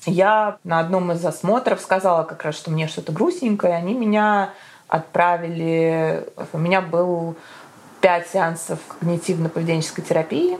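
A woman with an unremarkable speaking voice talks in a fairly low pitch with fairly even intonation. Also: moderate pace. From Moscow, Russia. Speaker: entrepreneur and new mother. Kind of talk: casual interview.

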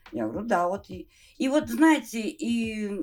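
A woman's pitch rises and falls very widely. Her delivery is very slow. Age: 60s. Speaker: retired gamer grandmother. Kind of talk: casual chat.

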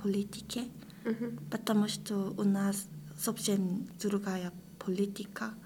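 This woman's voice is somewhat breathy, with fairly even intonation. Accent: Korean. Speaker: international master's student. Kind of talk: interview, casual chat. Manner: halting, hesitant with pauses.

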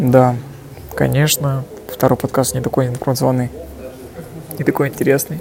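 The speech runs at a fairly quick pace broken by long, frequent pauses, with fairly even intonation, very even loudness and noticeable background noise. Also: man. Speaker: podcaster and business owner. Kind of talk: solo casual monologue. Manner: dry, monotone.

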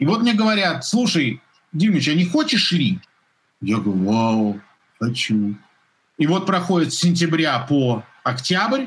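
This man speaks fairly slowly in a fairly high voice, with long, frequent pauses. His pitch swings very widely while his loudness stays very even. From Russia, Moscow. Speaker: sports commentator. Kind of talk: casual chat. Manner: animated.

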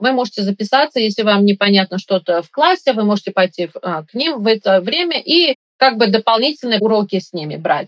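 Fairly quick and with lively intonation, an unremarkable speaking voice is heard. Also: woman, fairly high pitch for a woman. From Uzbekistan, Tashkent. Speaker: operating room nurse. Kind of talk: interview.

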